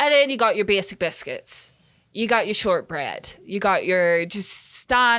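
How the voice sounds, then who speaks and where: An animated, bright, sharp tone with lively intonation. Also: woman, fairly high pitch for a woman, fairly slow pace. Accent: Northern Irish. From Northern Ireland. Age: 20s. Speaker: music video director. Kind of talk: casual chat.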